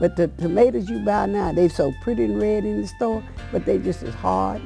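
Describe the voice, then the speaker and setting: Music plays behind a woman with a Southern US accent who speaks at a moderate pace in a very deep, low voice. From South Carolina. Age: 80s+. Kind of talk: oral history interview answer. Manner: halting, repetitive.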